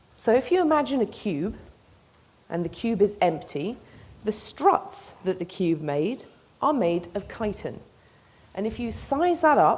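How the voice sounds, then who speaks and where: A woman speaks with an English accent at a fairly high pitch. Her voice makes very wide pitch swings. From England. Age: young. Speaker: PhD researcher in mechanical engineering. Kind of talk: public science talk.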